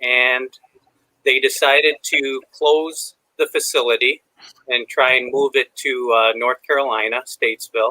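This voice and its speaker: With an American accent, the speaker talks at a fairly slow pace in a dry, close sound with no echo. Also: man. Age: 60s. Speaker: retired supply chain manager. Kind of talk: podcast interview.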